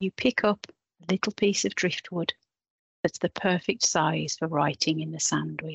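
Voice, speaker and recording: A woman speaks in a soothing, calm tone at a fairly low pitch, with ordinary pitch variation and vocal fry. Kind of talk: guided meditation. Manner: slow, soothing, calm; gentle, measured pacing.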